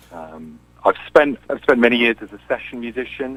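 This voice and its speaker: Speaking in an English accent, a man keeps to a moderate pace. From England, Cambridge. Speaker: singer-songwriter and session musician. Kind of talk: radio interview.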